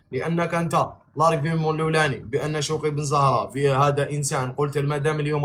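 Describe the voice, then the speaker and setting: A man speaks with an Algerian accent at a moderate pace. His voice is somewhat breathy. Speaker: live stream host. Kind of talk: heated debate. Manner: animated.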